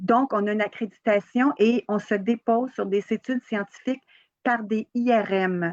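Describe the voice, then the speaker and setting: A woman with a plain, everyday voice and a fairly high pitch talks at a fairly slow pace with fairly even intonation, the sound dry and close with no echo. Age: 60s. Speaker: holistic therapist and trainer. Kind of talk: interview. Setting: live video stream on social media.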